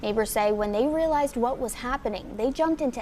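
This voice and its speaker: A woman speaks in a high voice over noticeable background noise. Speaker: local TV news anchor. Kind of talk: scripted news read.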